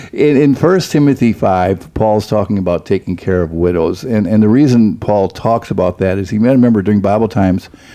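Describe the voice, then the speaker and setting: A man with an ordinary speaking voice talks at a fairly quick pace with hardly any pauses, fairly low pitch and ordinary pitch variation. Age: 60s. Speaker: pastor. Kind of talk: casual chat.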